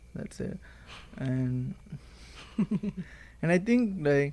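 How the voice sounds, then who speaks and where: Here a man speaks in a dark, mellow tone. He has a Telugu accent. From India. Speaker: university student. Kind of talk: casual chat.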